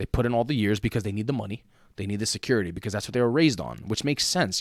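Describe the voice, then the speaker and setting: In a very clean recording with a silent background, a man with a New York accent and a fairly low pitch talks very fast in an animated tone. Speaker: podcast co-host and teacher. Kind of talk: casual chat.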